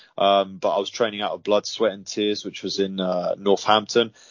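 A man's voice, fairly low in pitch. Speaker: MMA fighter. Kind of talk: interview. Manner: halting, filler-heavy.

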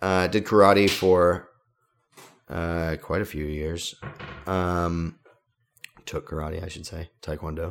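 A man's very deep, low voice, relaxed in tone, very slow and monotone, with long, frequent pauses. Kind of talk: radio DJ patter: cheerful back-from-break welcome with the show sign-on. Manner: relaxed, laughing, easygoing and chatty.

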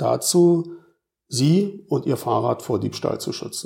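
The tone is dark and mellow, and somewhat breathy. The intonation is lively. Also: man. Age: 50s. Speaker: police officer. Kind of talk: interview. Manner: formal.

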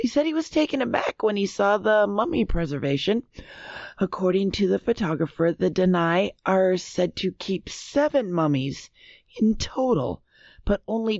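A woman in an American accent at a medium pitch and moderate pace, very wide pitch swings, very even loudness. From US Upper Midwest, Minnesota. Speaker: quiz show panelist. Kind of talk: reading news stories aloud.

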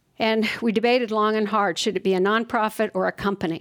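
Speech comes at a moderate pace with an American accent. The intonation stays flat and monotone. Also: woman. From Southern California (Fullerton). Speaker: children's science author and nonprofit executive. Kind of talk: interview before live audience. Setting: stage with audience.

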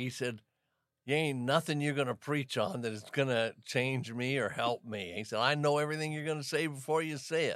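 A man speaks at a fairly quick pace in a plain, everyday voice, pitched fairly high. His pitch varies in an ordinary way, and the recording is very clean with a silent background. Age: 60s. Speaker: pastor. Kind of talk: casual chat.

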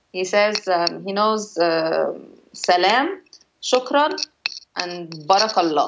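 With an Arabic accent, a woman speaks at a very slow pace with long, frequent pauses and lively intonation. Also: medium pitch for a woman. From Cairo, Egypt. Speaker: singer-songwriter. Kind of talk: casual interview chat. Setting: remote call from home.

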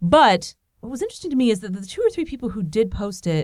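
A woman at a very fast pace in an animated tone, on a very clean recording with a silent background. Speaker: podcast host. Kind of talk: casual chat. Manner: fast talker; animated, joking.

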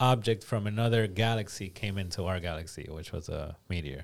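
An ordinary speaking voice with ordinary pitch variation, in a very clean recording with a silent background. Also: man. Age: 30s. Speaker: podcast co-host, sound engineer. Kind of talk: casual chat. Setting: studio.

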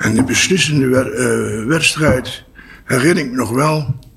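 A man is speaking. His pace is very slow. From Netherlands, Apeldoorn and Venlo. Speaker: entrepreneur, training institute founder. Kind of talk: interview. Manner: halting.

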